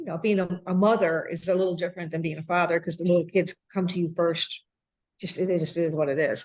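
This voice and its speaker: A woman's fairly low voice, monotone and flat, at a very fast pace. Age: 60s. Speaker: restaurant owner. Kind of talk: interview. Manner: halting.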